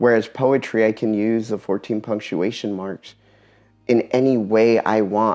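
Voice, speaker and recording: A man speaks at medium pitch with a dark, mellow tone. His intonation stays fairly even. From Eastern Washington, US. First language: Spanish. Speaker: poet and military veteran. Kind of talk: talk to an audience.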